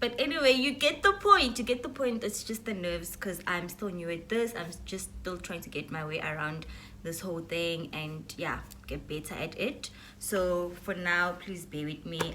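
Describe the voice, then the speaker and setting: Her pitch fairly low, a woman talks at a moderate pace with lively intonation, and audible room echo surrounds her voice. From South Africa. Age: 20s. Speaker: YouTuber. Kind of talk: casual vlog Q&A.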